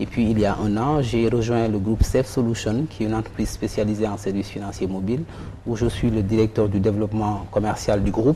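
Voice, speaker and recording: Talking fairly quickly in a fairly low pitch, a man keeps fairly even intonation amid noticeable background noise. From Senegal. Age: 40s. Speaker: banker and economist. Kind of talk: interview. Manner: formal.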